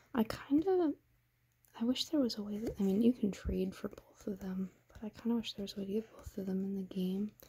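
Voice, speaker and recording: The soft-spoken voice whispers at a fairly quick pace. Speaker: ASMR creator. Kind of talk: ASMR soft-spoken readthrough of a card game guide. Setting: ASMR recording with tapping and crinkling sounds. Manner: soft-spoken, whispering.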